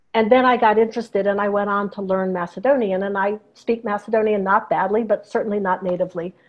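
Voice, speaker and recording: A woman talks at a fairly quick pace in a normal speaking voice. Her medium pitch carries fairly even intonation. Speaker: professor of Slavic languages. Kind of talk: interview on video call. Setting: video call.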